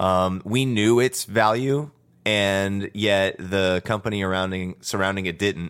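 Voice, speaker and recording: With an American accent, a man with a plain, everyday voice speaks at a fairly low pitch and moderate pace with fairly even intonation, on a very clean recording with a silent background. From Texas. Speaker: cannabis industry worker. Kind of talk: casual chat. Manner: many fillers, conversational.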